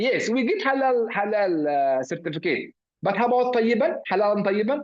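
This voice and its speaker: A man with an Arabic accent, high in pitch, with lively intonation at a moderate pace. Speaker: professor. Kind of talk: lecture. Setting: video call. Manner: halting, many fillers.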